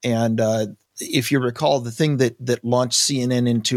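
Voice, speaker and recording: An ordinary speaking voice from a man, medium in pitch, at a moderate pace with fairly even intonation, in a dry, close sound with no echo. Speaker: podcast co-host. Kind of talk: casual chat.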